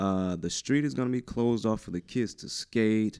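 This speaker has an eastern North Carolina accent. The pace is moderate and the intonation fairly even. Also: man, quiet background. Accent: US South, eastern North Carolina. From New Bern, North Carolina. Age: young. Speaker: arts nonprofit founder. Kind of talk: radio interview. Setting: radio studio, sharing one mic.

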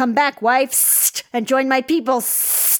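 This is a put-on character voice. It comes out with a hissing sound. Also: woman. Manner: coaxing, sinister.

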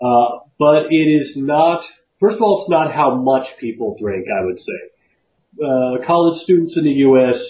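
With an American accent, a man uses a plain, everyday voice at a fairly high pitch. He goes at a fairly slow pace with lively intonation. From US Southwest. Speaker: podcast host. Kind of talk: casual chat. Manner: casual.

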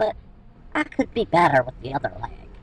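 In a put-on character voice, the speaker talks at a fairly quick pace with a low-to-middle pitch. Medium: read story.

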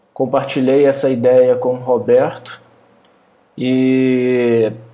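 A man speaks in a monotone, flat intonation. Room echo is audible. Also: long, frequent pauses. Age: 30s. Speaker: software company co-founder. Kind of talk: casual chat.

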